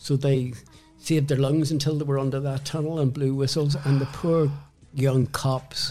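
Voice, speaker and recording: A man with a Northern Irish accent, fairly high in pitch, with fairly even intonation at a moderate pace over music in the background. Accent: Northern Irish (Belfast). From Northern Ireland (Belfast). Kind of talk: casual interview, storytelling.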